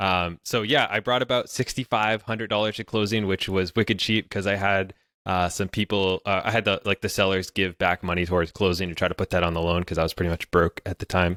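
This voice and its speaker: Speaking at a fairly quick pace, a man with a very deep, low pitch and a bright, sharp tone keeps his intonation fairly even, recorded dry and close with no echo. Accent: New England. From New Hampshire, US. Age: 20s. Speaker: YouTuber and real estate investor. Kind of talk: podcast interview. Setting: remote call.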